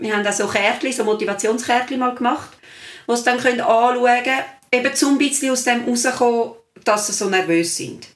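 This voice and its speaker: High-pitched woman's voice at a fairly quick pace with ordinary pitch variation. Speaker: secondary school teacher. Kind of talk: casual chat.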